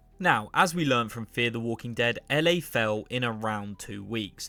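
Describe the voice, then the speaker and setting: On a very clean recording with a silent background, a man with an English accent speaks in a bright, sharp tone at a fairly quick pace. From England. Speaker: YouTuber, TV show commentator. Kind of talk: video essay commentary.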